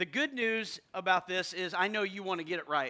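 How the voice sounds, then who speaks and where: A raised, projected voice with a bright, sharp tone and ordinary pitch variation sounds out in a very clean recording with a silent background. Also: man. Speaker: pastor. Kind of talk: sermon. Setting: church.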